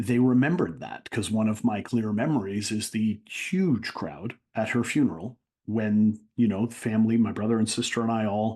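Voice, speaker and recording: At a moderate pace, a man speaks in a dark, mellow tone. His fairly low pitch has ordinary pitch variation. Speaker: motivational speaker. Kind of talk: interview answer.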